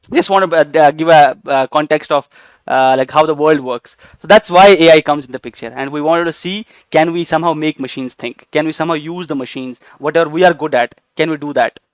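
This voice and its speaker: A man speaks at a very fast pace and a fairly high pitch with an Indian accent and big swings in loudness. The sound is dry and close with no echo, on a very clean recording with a silent background. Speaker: AI teacher. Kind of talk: lecture. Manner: hesitant, many fillers.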